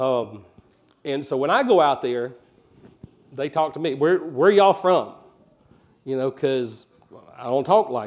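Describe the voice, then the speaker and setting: A man with an American accent at a fairly high pitch, fairly slow and lively in intonation, with long, frequent pauses. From Alabama, US South. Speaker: pastor. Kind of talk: sermon. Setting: church.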